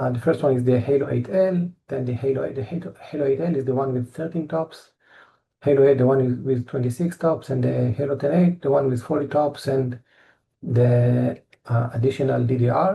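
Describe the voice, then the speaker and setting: A man with an Israeli accent has a dark, mellow tone and a somewhat breathy voice. His pitch is medium with ordinary variation. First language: Hebrew. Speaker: engineer presenting company products. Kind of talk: technical presentation. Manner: halting, many fillers and repetitions.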